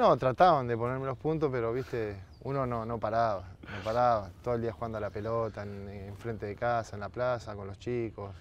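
A man's normal speaking voice at medium pitch, fairly quick with hardly any pauses, ordinary pitch variation and big swings in loudness, in a dry sound with no echo and light background noise. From Argentina, Berazategui (Greater Buenos Aires); Argentina. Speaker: retired footballer; TV guest. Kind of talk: casual interview chat. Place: garden. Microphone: lapel.

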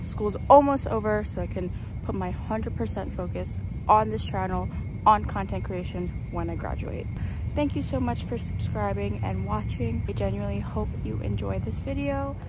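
Loud background noise runs under a woman speaking at a moderate pace. The sound itself is dry, with no echo. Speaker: vlogger. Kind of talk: casual vlog chat. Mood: warm, grateful, slightly overwhelmed. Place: street. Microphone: phone near.

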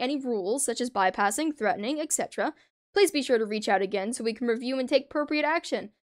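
A woman with a high pitch speaks at a very fast pace with lively intonation. The recording is very clean, with a silent background and a dry, close sound with no echo. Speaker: gaming streamer. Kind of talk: livestream commentary. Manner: casual, rambling.

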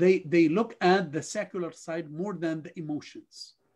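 A man's slow delivery with a slightly husky edge.

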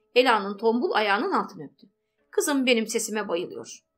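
With lively intonation, a woman talks as music sounds in the background. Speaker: audiobook narrator. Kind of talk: audiobook novel reading.

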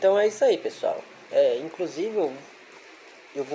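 A man talks over light background noise. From Brazil. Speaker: bird breeder and YouTuber; YouTuber. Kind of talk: casual explanatory monologue. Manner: conversational, frequent fillers. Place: kitchen. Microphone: phone near.

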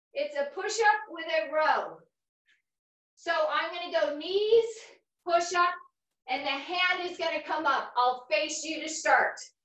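In an extremely high pitch, a woman speaks at a very slow pace with ordinary pitch variation, audible room echo and a quiet background. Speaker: fitness instructor. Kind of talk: workout instruction. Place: gym. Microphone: camera far.

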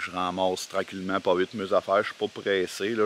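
With a Quebec accent, a man with a very deep, low pitch talks at a fairly quick pace, the dry sound carrying no echo and only light background noise. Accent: Québécois French. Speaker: hiker vlogger. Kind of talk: casual vlog narration. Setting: outdoors. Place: forest. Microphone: phone near.

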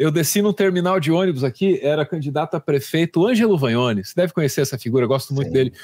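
On a very clean recording with a silent background and a dry, close sound with no echo, a man with fairly high pitch talks very fast and lively, with hardly any pauses. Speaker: commentator host. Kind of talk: news commentary chat.

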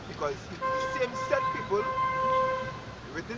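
Loud background noise with a dry sound and no echo. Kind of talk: street interview answer. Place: street. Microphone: camera far.

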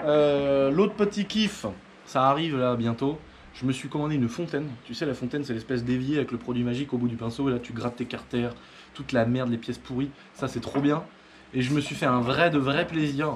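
A man speaks fairly quickly with ordinary pitch variation while light background noise plays underneath. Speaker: motorbike hobbyist vlogger. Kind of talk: casual vlog chat. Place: workshop. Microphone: camera far.

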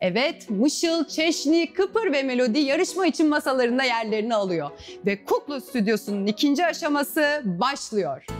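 A woman's high-pitched speech at a moderate pace with hardly any pauses, faint music in the background. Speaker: quiz show host. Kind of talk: children's TV presenting. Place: studio. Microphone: lapel.

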